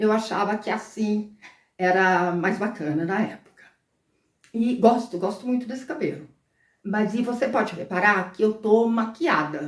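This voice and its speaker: A normal speaking voice at a fairly slow pace, with ordinary pitch variation. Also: woman, fairly high pitch for a woman. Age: 60s. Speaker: lifestyle vlogger. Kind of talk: casual vlog monologue. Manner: conversational, with fillers.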